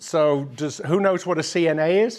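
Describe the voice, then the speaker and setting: A man with a British accent, high-pitched, at a fairly slow pace. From United Kingdom. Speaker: tech foundation board member. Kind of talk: informal talk to a meetup audience. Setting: meetup room with live audience, handheld microphone.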